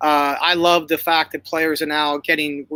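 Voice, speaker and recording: A man with a Northeastern US accent speaks at a fairly high pitch in a bright, sharp tone, his intonation flat and monotone. The recording is very clean and dry, close with no echo, over a silent background. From Northeast Pennsylvania. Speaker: basketball coach. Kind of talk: interview. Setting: livestream. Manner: halting, many fillers and repeats.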